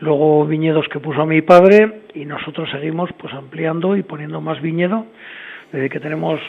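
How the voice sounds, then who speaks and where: Fairly even in intonation, a man speaks at a moderate pace against noticeable background noise. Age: 60s. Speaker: winemaker. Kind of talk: interview. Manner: hesitant, many fillers.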